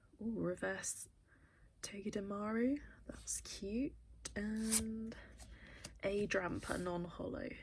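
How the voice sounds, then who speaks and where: The delivery is very slow with long, frequent pauses. The tone is upbeat. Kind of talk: casual talk to camera, card pack opening. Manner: chatty, upbeat.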